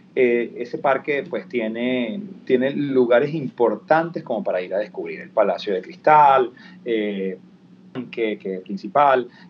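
A man with a Venezuelan accent speaks at a fairly slow pace in a medium pitch. His intonation is lively, and his loudness swings widely. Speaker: actor and TV presenter. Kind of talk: interview.

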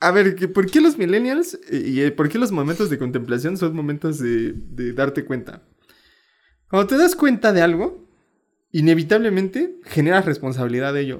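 Recorded very cleanly against a silent background, a man with a Mexican accent talks at a moderate pace in a high voice with very wide pitch swings. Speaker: podcast co-host. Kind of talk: casual chat.

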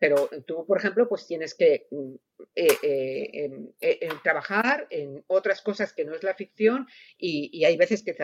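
A woman speaks at a moderate pace. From Spain. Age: 60s. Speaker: novelist. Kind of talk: panel discussion. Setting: round table event.

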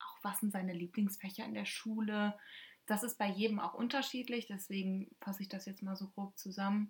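A somewhat breathy woman of medium pitch speaks at a moderate pace in a monotone, flat intonation. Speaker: podcast co-host, former exchange student. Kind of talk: casual chat.

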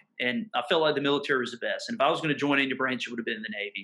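Pitched fairly high, a man speaks with a Mississippi accent. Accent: Southern US (Mississippi). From US South, southern Mississippi. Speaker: pastor. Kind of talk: casual interview conversation. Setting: video call.

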